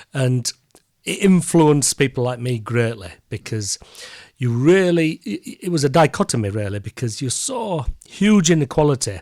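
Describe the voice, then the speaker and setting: With a strong Yorkshire accent, a man speaks in lively intonation, the sound dry and close with no echo. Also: very clean recording, silent background. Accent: broad Yorkshire. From Yorkshire, northern England. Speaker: peer and professor. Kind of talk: interview.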